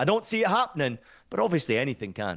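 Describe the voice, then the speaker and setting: Against a quiet background, a man speaks with a Scottish accent. His pitch is fairly high. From Scotland. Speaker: football commentator. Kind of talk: punditry interview. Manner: animated.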